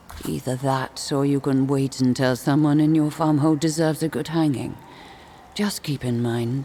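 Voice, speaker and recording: This is a put-on character voice in a low-to-middle pitch at a moderate pace. Background noise is clearly audible. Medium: video game. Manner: scornful, sharp-tongued.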